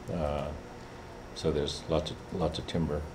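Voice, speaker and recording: Audible room echo surrounds a man who speaks at a moderate pace in a somewhat breathy voice. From Alaska, Kotzebue area (Inupiat). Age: 70s. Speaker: Alaska Native leader and professor. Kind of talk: talk to students. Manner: halting, many fillers.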